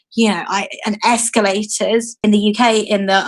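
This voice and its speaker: With a British accent, this woman talks at a medium pitch. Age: 30s. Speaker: activist and blogger. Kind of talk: interview. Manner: animated.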